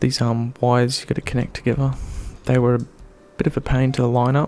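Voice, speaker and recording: A soft-spoken man talks at medium pitch. Noticeable background noise is present. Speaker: gaming youtuber. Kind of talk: gameplay tutorial commentary. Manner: hesitant, many fillers.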